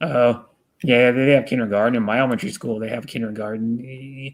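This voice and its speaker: A man speaks in an American accent at a medium pitch. His pace is moderate and his intonation fairly even. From US Pacific Northwest, Renton, Washington. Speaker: live-streamer. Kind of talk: casual chat. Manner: halting, many fillers and restarts.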